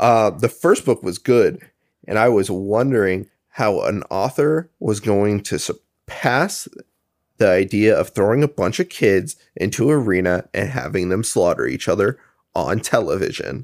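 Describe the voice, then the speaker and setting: In a normal speaking voice, a man with a fairly low pitch talks fairly slowly with lively intonation, sounding dry and close with no echo. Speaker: podcast co-host. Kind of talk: casual chat.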